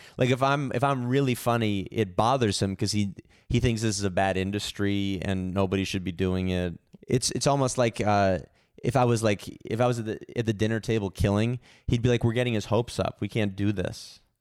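In a normal speaking voice, a man talks at a fairly quick pace with fairly low pitch and ordinary pitch variation, on a very clean recording with a silent background. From San Francisco, US. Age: 30s. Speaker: comedian. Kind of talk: casual chat.

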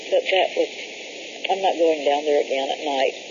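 There is noticeable noise behind a woman who talks fairly quickly. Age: 60s. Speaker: caller reporting a UFO sighting. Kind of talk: phone call report. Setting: phone call.

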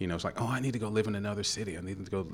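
A man speaks at a very fast pace. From Louisville, Kentucky. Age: 50s. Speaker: actor, guest.

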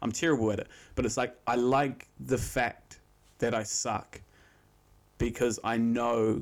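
On a very clean recording with a silent background, a man with vocal fry speaks at a moderate pace and medium pitch with fairly even intonation. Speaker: podcast co-host. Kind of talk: casual chat.

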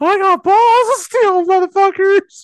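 This is a put-on character voice at an extremely high pitch. It goes at a fairly slow pace. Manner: boastful, cocky.

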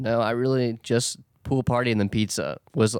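Speaking at a moderate pace with fairly even intonation, a man has a plain, everyday voice in a dry, close sound with no echo. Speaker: podcast co-host. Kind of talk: casual chat.

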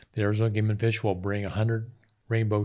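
In an American accent, a man speaks with monotone, flat intonation at a fairly low pitch. The recording is very clean, with a silent background. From north central Pennsylvania. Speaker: conservation volunteer. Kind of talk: casual interview.

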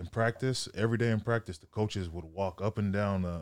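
A man talks at a fairly quick pace in a plain, everyday voice, pitched fairly low with ordinary pitch variation. The recording is very clean, with a silent background. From Sacramento, California. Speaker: strength coach and former football player. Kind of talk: casual chat.

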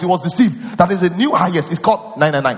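The animated voice moves at a fairly quick pace with very wide pitch swings over noticeable background noise. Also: man. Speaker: pastor. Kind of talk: sermon. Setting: church.

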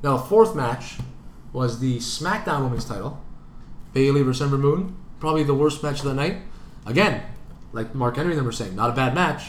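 A man's fairly high-pitched, animated voice with a Canadian accent, fairly quick with lively intonation, long, frequent pauses and audible room echo. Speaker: sports podcast co-host. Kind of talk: casual chat.

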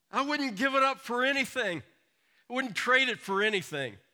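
A raised, projected voice with an American accent and a bright, sharp tone carries ordinary pitch variation. The recording is very clean, with a silent background. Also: man. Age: 60s. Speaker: pastor. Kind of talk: sermon.

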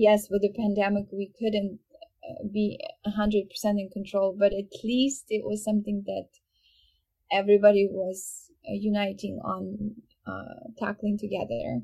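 Speaking at a fairly slow pace, a woman with a Ukrainian accent has a medium-pitched, dark, mellow voice that is somewhat breathy, with fairly even intonation. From Ukraine. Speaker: violinist. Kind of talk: interview. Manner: hesitant, many fillers.

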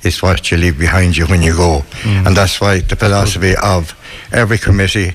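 With a west of Ireland accent, a man speaks at a very fast pace in a very deep, low pitch with ordinary pitch variation, over noticeable background noise. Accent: west of Ireland Irish. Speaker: club chairman. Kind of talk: casual interview. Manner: jokey.

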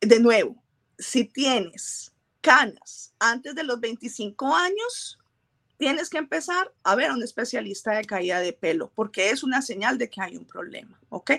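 The voice has a bright, sharp tone, very wide pitch swings and big swings in loudness at a fairly slow pace. The sound is dry and close, with no echo. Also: woman, high pitch for a woman. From Colombia. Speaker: trichologist and microbiologist. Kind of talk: interview.

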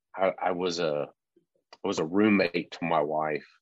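In a Texan accent, a man talks at a fairly slow pace with a very deep, low pitch and fairly even intonation, the sound dry and close with no echo. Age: 40s. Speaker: landscaping business owner. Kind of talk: interview.

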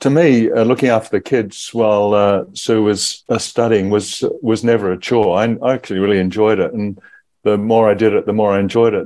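With an Australian accent, a man speaks in a dark, mellow tone at a fairly low pitch, keeping a moderate pace and fairly even intonation. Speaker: parent, guest. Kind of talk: casual interview.

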